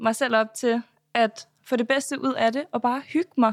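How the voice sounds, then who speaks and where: On a very clean recording with a silent background, a woman with a high pitch and ordinary pitch variation speaks at a fairly slow pace, the sound dry and close with no echo. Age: 20s. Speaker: reality TV contestant and influencer. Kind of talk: interview.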